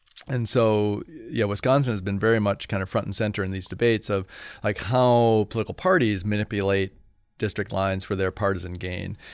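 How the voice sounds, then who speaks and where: A man with an American accent uses an ordinary speaking voice at a fairly low pitch, with fairly even intonation. He talks at a fairly quick pace on a very clean recording with a silent background. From Indiana, US Midwest. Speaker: political science professor. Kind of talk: interview conversation.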